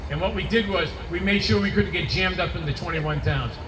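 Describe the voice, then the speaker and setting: With a Boston accent, a man speaks at a very fast pace amid noticeable background noise and audible room echo. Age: 60s. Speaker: congressional candidate. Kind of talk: campaign speech at rally. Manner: animated.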